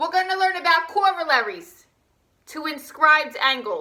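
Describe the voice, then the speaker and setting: A woman with a New Jersey accent speaks in a raised, projected voice at an extremely high pitch and a moderate pace. Her tone is bright, sharp and animated. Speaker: high school math teacher. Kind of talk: recorded online lesson. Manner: casual.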